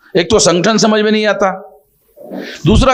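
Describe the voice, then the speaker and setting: A high-pitched male voice with audible room echo. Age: 60s. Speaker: social organization leader. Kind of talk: conversational interview. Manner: emphatic, repetitive.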